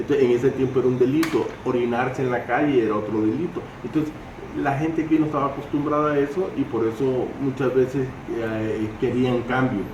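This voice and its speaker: A man's medium-pitched voice at a fairly quick pace, fairly even intonation, audible room echo, and noticeable background noise. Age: 60s. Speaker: oral historian, storyteller. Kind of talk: storytelling interview. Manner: halting.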